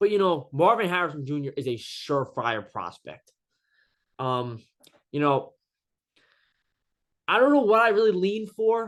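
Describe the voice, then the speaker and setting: His pitch is high for a man and swings very widely, and the man leaves long, frequent pauses. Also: moderate pace. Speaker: sports YouTuber. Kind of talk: casual monologue. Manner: halting, many fillers.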